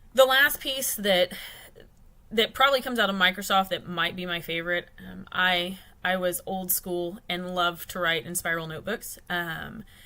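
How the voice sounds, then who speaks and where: A woman's medium-pitched voice in a Texan accent, bright and sharp in tone, at a moderate pace with ordinary pitch variation and big swings in loudness. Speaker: client account consultant. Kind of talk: business livestream talk. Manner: casual with many fillers.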